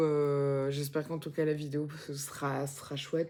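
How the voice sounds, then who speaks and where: On a very clean recording with a silent background, a woman speaks quietly in a dark, mellow tone. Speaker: vlogger, mother. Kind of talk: casual vlog chat. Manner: halting, many fillers; speaking very quietly.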